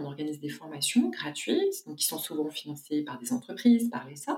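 A woman talks with lively intonation. Her pace is moderate. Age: 40s. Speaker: social entrepreneur. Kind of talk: interview.

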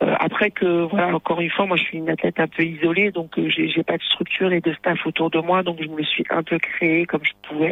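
Over noticeable background noise, the speaker keeps a fairly even intonation. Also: woman. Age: 30s. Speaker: judoka. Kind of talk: interview.

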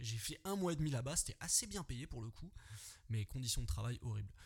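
Lively intonation marks this somewhat breathy voice. The delivery is fairly quick. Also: man. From Paris region, France (Yvelines). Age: 20s. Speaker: podcaster, former soldier. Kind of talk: solo podcast monologue. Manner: casual, hesitant with fillers.

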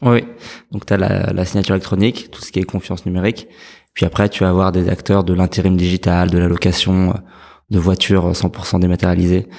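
On a very clean recording with a silent background, a man with a very deep, low pitch speaks in a monotone, flat intonation at a fairly quick pace, with big swings in loudness. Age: 30s. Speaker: startup co-founder. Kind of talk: interview. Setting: in person at the guest's office.

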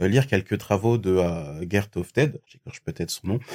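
A man with a fairly low voice speaks at a fairly slow pace. The recording is very clean, with a silent background. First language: not French (speaking French). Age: 20s. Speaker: recruiter. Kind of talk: interview conversation. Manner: hesitant, many fillers.

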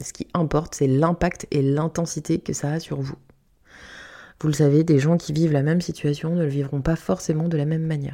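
On a very clean recording with a silent background, a woman speaks at a very deep, low pitch in a dark, mellow tone with monotone, flat intonation. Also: moderate pace. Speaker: podcast host and hypnotherapist. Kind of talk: solo reflective monologue. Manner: casual, with hesitations.

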